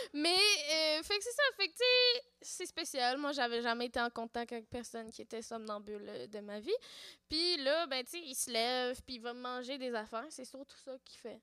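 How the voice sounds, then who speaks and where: This woman's high-pitched voice has lively intonation and big swings in loudness. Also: moderate pace. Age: 30s. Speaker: podcaster. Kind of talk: casual chat. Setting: stage with audience.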